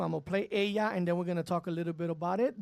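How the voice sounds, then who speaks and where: Speaking in an American accent, a man has an animated tone and ordinary pitch variation. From New York City, Spanish Harlem. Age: 50s. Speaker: radio DJ. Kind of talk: radio interview.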